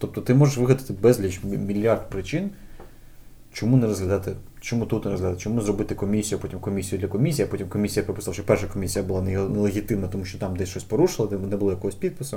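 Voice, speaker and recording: Somewhat breathy and fairly low in pitch, a man with a dark, mellow tone talks at a very fast pace. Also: ordinary pitch variation. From Ukraine, Kyiv (Borshchahivka). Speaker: game localization organization founder. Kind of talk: casual chat.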